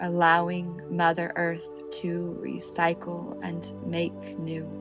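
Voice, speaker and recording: A woman speaks at a very slow pace. Music plays behind her. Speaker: meditation guide. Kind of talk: guided meditation. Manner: slow, soft-spoken, calming.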